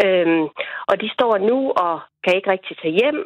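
With lively intonation, an ordinary speaking voice moves at a moderate pace. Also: woman. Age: 40s. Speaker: farmer household, caller. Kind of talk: phone interview. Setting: phone call.

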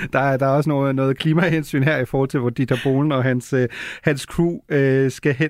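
Speaking at a moderate pace in a plain, everyday voice, a man with fairly high pitch keeps a fairly even intonation in a dry, close sound with no echo. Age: 30s. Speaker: radio host. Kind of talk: radio magazine show, interviews.

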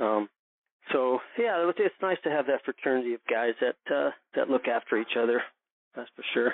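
At a moderate pace, a man talks in a medium pitch. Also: lively intonation. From California (Oxnard). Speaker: former college and pro golfer. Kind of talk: casual interview. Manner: halting, laughs often.

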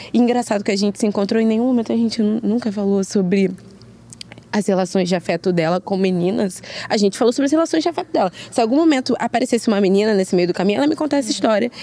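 Over noticeable background noise, a woman talks at a very fast pace with fairly high pitch, lively intonation and very even loudness. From Rio de Janeiro, Brazil. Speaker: guest, friend of guest. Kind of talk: casual chat.

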